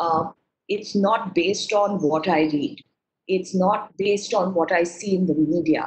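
Her pitch varies in an ordinary way as a woman speaks at a fairly slow pace. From India. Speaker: research advisor; webinar speaker. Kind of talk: webinar talk. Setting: video call. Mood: earnest, reflective. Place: home room. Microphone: webcam.

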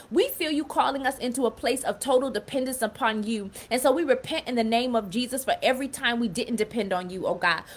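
With hardly any pauses, a woman talks at a very fast pace in a high voice with ordinary pitch variation. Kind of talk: fervent prayer. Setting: live stream on Clubhouse and Facebook. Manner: impassioned, rhythmic; repetitive, pleading. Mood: earnest, devout. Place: home room. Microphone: phone near.

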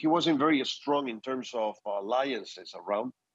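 Against a quiet background, a man with a Spanish accent speaks in a fairly high pitch at a moderate pace. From Spain. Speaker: political adviser; guest. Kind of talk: news interview. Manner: halting, many fillers and repetitions. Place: home room. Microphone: earbuds.

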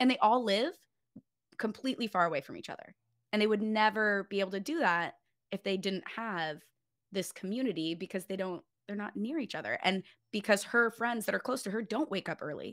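A woman talks at a fairly quick pace with lively intonation, big swings in loudness and long, frequent pauses, on a very clean recording with a silent background. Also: medium pitch for a woman. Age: 30s. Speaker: fitness coach and community founder. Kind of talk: casual interview chat.

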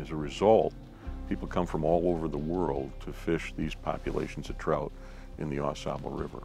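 A man with a very deep, low voice talks at a moderate pace with ordinary pitch variation. Clear music plays behind him, and the sound is dry with no echo. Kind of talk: interview answer. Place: forest. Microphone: lapel.

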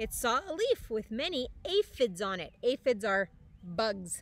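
A woman's voice comes through dry, with no echo. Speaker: teacher reading to children. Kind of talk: storytime read-aloud. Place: waterside. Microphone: phone near.

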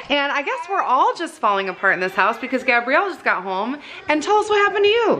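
Noticeable background noise surrounds a woman speaking at a very fast pace in a raised, projected voice. Her pitch is high and swings very widely. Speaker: family vlogger. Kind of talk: casual chat. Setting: parking lot of the ER.

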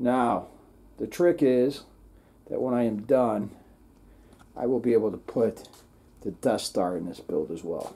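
Lively intonation in a dark, mellow tone, broken by long, frequent pauses. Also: man, fairly slow pace. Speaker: LEGO hobby channel host. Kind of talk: casual vlog chat. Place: home room. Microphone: phone near.

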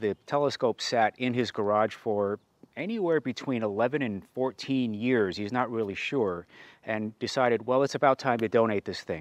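The recording is dry with no echo as a man speaks at a moderate pace with ordinary pitch variation. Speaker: telescope reviewer. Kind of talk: review presentation. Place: street. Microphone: lapel.

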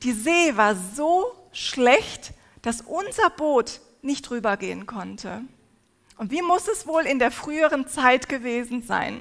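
A high-pitched woman's voice at a very slow pace, with very wide pitch swings, over a quiet background. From Turkey. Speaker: preacher. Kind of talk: sermon. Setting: stage with audience. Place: hall. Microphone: headset.

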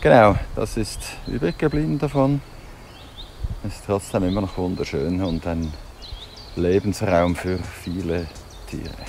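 With lively intonation and a very deep, low pitch, a man talks at a fairly slow pace with long, frequent pauses, in a dry sound with no echo and light background noise. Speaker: outdoor vlogger. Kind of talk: casual vlog chat. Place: open country. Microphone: phone near.

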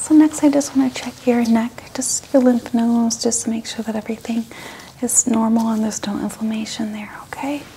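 Soft-spoken and gentle in tone, a woman talks at a fairly quick pace with fairly even intonation over light background noise. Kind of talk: role-play, soft spoken address to camera. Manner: soft-spoken, gentle ASMR bedside voice. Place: home room. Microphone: lapel.

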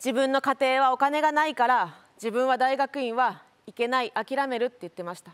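A woman's high voice at a moderate pace, with ordinary pitch variation and big swings in loudness. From Japan. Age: 30s. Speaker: lawyer and local politician; lawyer, local politician. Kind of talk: speech. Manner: formal. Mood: earnest, reflective. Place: stage. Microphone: lapel.

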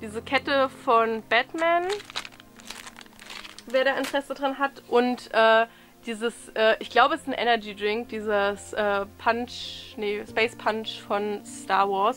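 A woman speaks at a very slow pace with long, frequent pauses. There is noticeable background noise. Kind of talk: casual talk to camera. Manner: hesitant, many filler sounds.

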